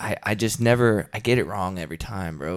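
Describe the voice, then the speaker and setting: Using an unremarkable speaking voice with an American accent, a man talks at a moderate pace and a fairly low pitch. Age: 30s. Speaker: heavy metal musician and combat sports coach. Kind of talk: casual interview chat.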